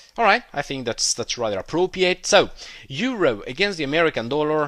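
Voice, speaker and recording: A man talks with a non-native accent. His intonation is lively. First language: not English. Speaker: trading educator. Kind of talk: tutorial. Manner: hesitant, many filler words.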